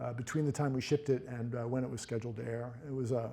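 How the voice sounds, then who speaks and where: Speaking very fast, a man uses a medium pitch and a somewhat breathy delivery. The tone is dark and mellow. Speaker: brand strategist. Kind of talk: lecture. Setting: stage with audience. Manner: mumbling; halting.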